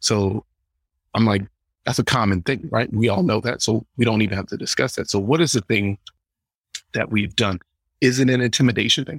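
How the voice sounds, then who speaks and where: In an Atlanta accent, a man of medium pitch and ordinary pitch variation talks at a fairly quick pace with long, frequent pauses, the sound dry and close with no echo on a very clean recording with a silent background. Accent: Southern US (Atlanta) English. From US South, Atlanta. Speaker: comedian. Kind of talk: casual chat.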